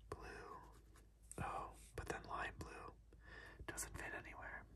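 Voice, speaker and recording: Very slowly, a man whispers his words. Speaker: ASMR creator. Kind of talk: ASMR puzzle-solving whisper video. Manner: whispered, soft-spoken.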